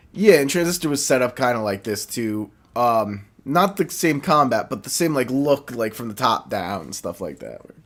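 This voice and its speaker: A man with a New Jersey accent at a medium pitch and moderate pace, with very wide pitch swings and big swings in loudness, on a very clean recording with a silent background. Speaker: gaming YouTuber. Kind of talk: casual gameplay commentary. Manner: casual, halting with fillers.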